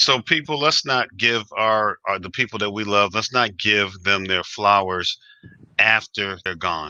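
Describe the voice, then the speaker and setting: A man with an American accent and a fairly low, bright, sharp voice speaks at a fairly slow pace with ordinary pitch variation, in a dry, close sound with no echo and a very clean recording with a silent background. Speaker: DJ and music historian, interview host. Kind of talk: interview.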